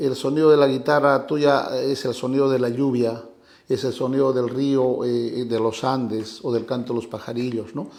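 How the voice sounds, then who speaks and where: Moving at a moderate pace, a man speaks in a flat monotone at medium pitch, with audible room echo around him. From Peru, Ayacucho highlands (Coracora). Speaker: guitarist and singer-songwriter. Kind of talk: interview.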